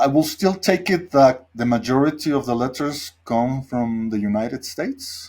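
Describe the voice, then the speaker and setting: With a Spanish accent, a man talks at a moderate pace in a medium pitch, using lively intonation and hardly any pauses, on a very clean recording with a silent background. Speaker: podcast host. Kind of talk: casual interview.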